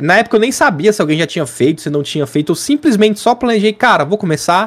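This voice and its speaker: A man with a high pitch uses lively intonation as he talks at a fairly quick pace. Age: 20s. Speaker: gaming content creator. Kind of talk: casual chat.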